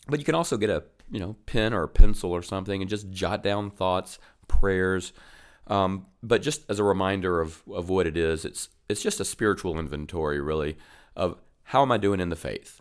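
On a very clean recording with a silent background, a man talks at a moderate pace in a very deep, low pitch with ordinary pitch variation. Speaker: church minister co-host. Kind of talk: casual faith discussion.

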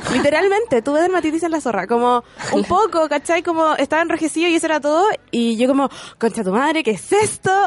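Over noticeable background noise, the speaker talks at a very fast pace with lively intonation, very even loudness and a Chilean accent. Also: woman, high pitch for a woman. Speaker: radio host. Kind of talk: casual chat. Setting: studio.

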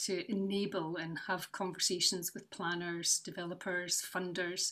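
A woman speaks with a Scottish accent. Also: very clean recording, silent background. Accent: Scottish (Fife). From Scotland, North East Fife. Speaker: charity founder and brass teacher. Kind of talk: casual interview.

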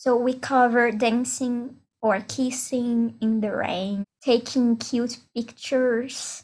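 A woman with a non-native accent speaks at a very slow pace, her pitch high and her intonation flat and monotone. She hardly pauses at all. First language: not English. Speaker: podcast host. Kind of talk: casual chat.

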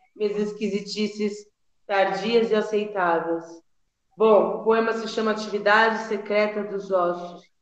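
A woman's monotone, flat intonation at a fairly slow pace, with audible room echo. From São Paulo city, Brazil. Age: 40s. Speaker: poet. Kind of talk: casual chat. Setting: video call.

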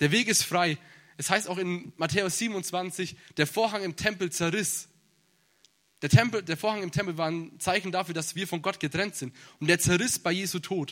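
A man with a high voice talks at a moderate pace on a very clean recording with a silent background. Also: ordinary pitch variation. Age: 20s. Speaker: bible seminary student preaching. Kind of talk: sermon. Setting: church service.

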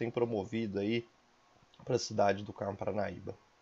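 A man talks at a moderate pace. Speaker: teacher hosting school podcast. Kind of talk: interview.

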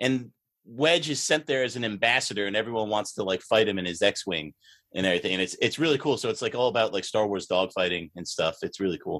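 On a very clean recording with a silent background, a man speaks very fast at a medium pitch with lively intonation. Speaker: podcaster. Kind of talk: casual chat.

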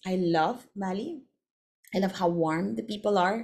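At a moderate pace, a woman with a Filipino accent speaks at a fairly low pitch with lively intonation. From Philippines. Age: 40s. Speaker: podcast host. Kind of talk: casual monologue.

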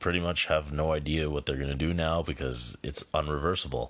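Against a quiet background, the speaker's pitch varies in an ordinary way. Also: man. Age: 20s. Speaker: amateur movie review podcaster. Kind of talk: solo casual movie review. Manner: casual with frequent fillers.

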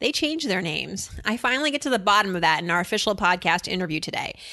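A woman speaks in a bright, sharp tone against a quiet background. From US East Coast, Worcester. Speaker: podcast host. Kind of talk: scripted narration; interview.

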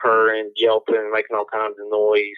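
Speaking at a fairly slow pace, a man talks with a Mississippi accent. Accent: Southern US (Mississippi). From US South, Mississippi Gulf Coast. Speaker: PhD student and turkey hunter. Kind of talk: casual interview chat. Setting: remote call.

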